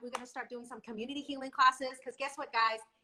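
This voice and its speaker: In a raised, projected voice, a woman speaks with an animated, bright, sharp tone. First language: not English. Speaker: nonprofit founder hosting a discussion. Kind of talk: casual chat. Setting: live video stream.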